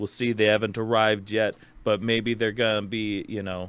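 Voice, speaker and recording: A man with a Minnesotan accent. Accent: Minnesota. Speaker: music podcast host. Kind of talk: casual chat.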